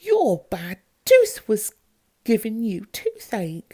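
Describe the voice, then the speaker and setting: The female-sounding, put-on character voice is fairly high in pitch and goes at a very slow pace. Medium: read story.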